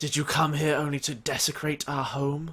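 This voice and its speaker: A booming put-on character voice from a man, fairly high-pitched, monotone with flat intonation, at a moderate pace. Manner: accusing.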